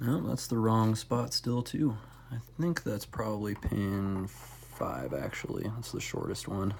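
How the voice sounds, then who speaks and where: Mumbled speech at a fairly slow pace. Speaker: lock picking hobbyist. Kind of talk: casual tutorial demonstration. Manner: mumbling; trying to talk louder.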